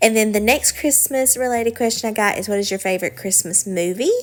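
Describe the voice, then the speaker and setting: With a Southern US accent, a woman speaks at medium pitch and a fairly quick pace. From US South, Alabama. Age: 20s. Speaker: lifestyle vlogger. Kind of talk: casual Q&A chat. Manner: relaxed, many filler ums.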